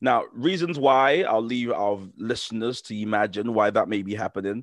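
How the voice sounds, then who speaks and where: A man talks with a British accent. Behind him the background is quiet. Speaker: podcast host. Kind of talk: casual interview.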